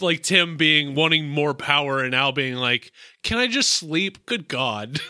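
A man with an American accent, fairly high in pitch, bright and sharp in tone, with lively intonation at a fairly slow pace. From US South. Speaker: podcast co-host. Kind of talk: casual chat.

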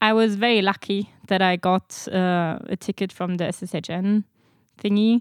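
In a German accent, a woman speaks at a medium pitch and a moderate pace with monotone, flat intonation. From Germany. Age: 20s. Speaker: master's student. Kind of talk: casual interview.

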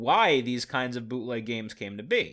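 The recording is very clean, with a silent background. A man speaks at a fairly quick pace in a medium pitch. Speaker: podcast host. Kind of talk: casual chat with lecture-style history segments. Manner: rambling.

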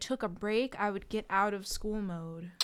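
Here is a normal speaking voice. A woman with an American accent speaks at a medium pitch with fairly even intonation on a very clean recording with a silent background. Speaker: graduate degree holder. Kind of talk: casual chat.

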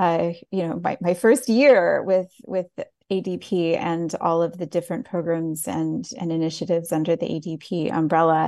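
Her dark, mellow tone sits fairly low for a woman, moving at a fairly slow pace with ordinary pitch variation. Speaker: audio description gala host. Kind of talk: casual chat. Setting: video call.

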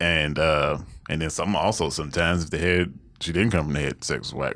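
Speaking at a fairly quick pace, a man uses a very deep, low pitch with vocal fry and ordinary pitch variation. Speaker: dating show guest. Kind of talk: casual chat.

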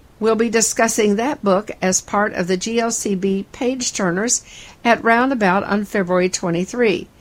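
Speaking at a fairly slow pace with very even loudness, a woman has a plain, everyday voice, fairly high in pitch, with fairly even intonation. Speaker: podcast host. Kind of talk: news reading.

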